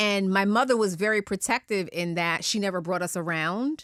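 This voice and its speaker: On a very clean recording with a silent background, a woman speaks at a medium pitch and a moderate pace with ordinary pitch variation. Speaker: media executive. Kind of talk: casual chat. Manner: loud; passionate, strong tone.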